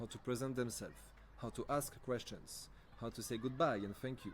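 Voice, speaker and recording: A man with a French accent and a medium pitch, at a moderate pace. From France. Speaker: language camp trainer. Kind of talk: training presentation. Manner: hesitant, many fillers and self-corrections.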